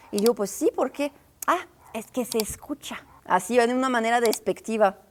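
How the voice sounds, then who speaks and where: This woman's voice sits fairly high, with ordinary pitch variation at a moderate pace. The sound is dry and close, with no echo. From northern France. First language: French (speaking Spanish). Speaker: travel and culture video creator. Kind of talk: informal explainer video. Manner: casual, conversational.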